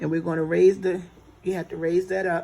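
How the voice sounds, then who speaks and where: Her voice is fairly low and dark, mellow in tone, and this woman keeps a monotone, flat intonation. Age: 60s. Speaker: home baker teaching cooking. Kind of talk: tutorial. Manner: casual, conversational.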